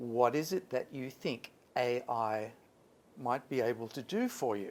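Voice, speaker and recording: With an Australian accent, the speaker talks at a fairly slow pace with ordinary pitch variation. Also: man. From Australia, Sydney. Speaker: English teacher. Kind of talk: workshop talk. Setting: stage with audience, PA system.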